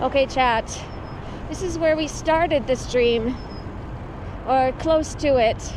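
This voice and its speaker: Amid noticeable background noise, the speaker moves at a fairly slow pace with ordinary pitch variation and long, frequent pauses. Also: woman. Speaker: cycling livestreamer. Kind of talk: live stream chat while cycling. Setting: outdoors on a bike.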